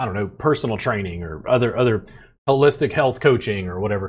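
Against a quiet background, a man with an American accent speaks at a moderate pace, somewhat breathy, with lively intonation. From US South, Louisiana. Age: 40s. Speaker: podcast host and massage therapist. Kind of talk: casual chat.

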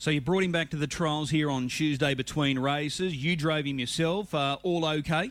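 With hardly any pauses, a man speaks at a fairly high pitch, with fairly even intonation and very even loudness. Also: moderate pace. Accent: Australian. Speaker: harness racing radio host. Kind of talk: radio interview.

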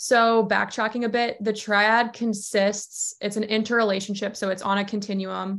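A woman with an American accent speaks at a moderate pace in a fairly high pitch, her intonation monotone and flat, with hardly any pauses. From US South, Georgia. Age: 20s. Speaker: sports nutritionist. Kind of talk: casual interview.

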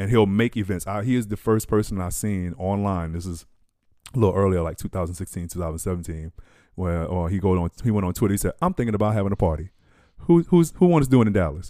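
A voice with an American accent races along at a very fast pace in a very clean recording with a silent background. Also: man, fairly low pitch for a man, ordinary pitch variation. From New York and New Orleans. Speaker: drummer and music producer. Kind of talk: casual chat.

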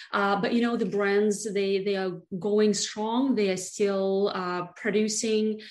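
A woman with a Russian accent speaks at medium pitch and a very slow pace. Her intonation is monotone and flat, with audible room echo. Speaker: beauty brand founder. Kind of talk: interview.

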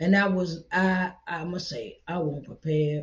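Here a woman speaks at a fairly low pitch. Her voice is somewhat breathy. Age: 40s. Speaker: podcast preacher. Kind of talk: sermon. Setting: seated in a chair. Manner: repetitive.

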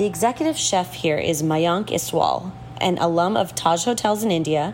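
Against noticeable background noise, a woman with an American accent talks in a fairly low pitch with lively intonation. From Houston, Texas. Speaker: food writer and podcast host. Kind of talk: casual interview over food tasting; scripted narration.

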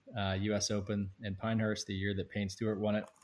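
Against a quiet background, a man with an American accent talks at a fairly quick pace, his fairly low voice flat and monotone. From North Carolina. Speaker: app founder. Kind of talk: casual interview.

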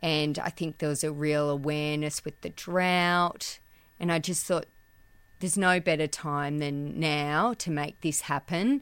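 Very clean recording, silent background: a woman in an Australian accent, very deep and low in pitch, at a fairly slow pace with fairly even intonation. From Australia, central west New South Wales. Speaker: business owner. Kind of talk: interview. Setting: back room of a shop.

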